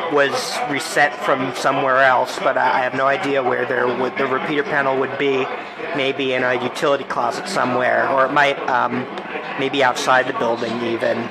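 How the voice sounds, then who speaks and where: Loud noise fills the background. Over it, a man speaks at a moderate pace. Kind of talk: casual tour commentary. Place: hall. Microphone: phone near.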